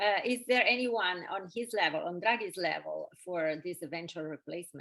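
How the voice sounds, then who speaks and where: Speaking at a moderate pace with ordinary pitch variation, a woman with an Italian accent holds a medium pitch. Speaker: event moderator. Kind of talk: webinar Q&A moderation. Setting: video call. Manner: hesitant.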